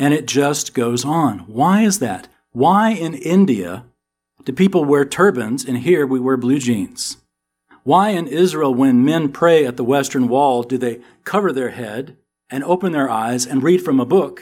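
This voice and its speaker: A fairly high-voiced man with a slight Southern US accent, lively intonation and a fairly slow pace. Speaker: Bible teacher. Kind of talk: sermon. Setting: church. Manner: animated.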